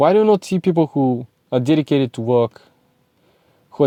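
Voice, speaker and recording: Speaking at a fairly quick pace with a Bulgarian accent, the voice has a dark, mellow tone and a dry, close sound with no echo. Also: man. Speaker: self-improvement content creator. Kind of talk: motivational monologue to camera. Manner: animated.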